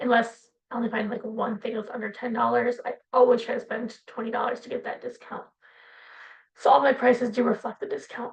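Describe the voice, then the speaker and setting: Speaking at a fairly quick pace, a woman uses a high-pitched, monotone, flat delivery. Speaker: part-time online reseller. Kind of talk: casual monthly sales review vlog. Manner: fast. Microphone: poor sound quality.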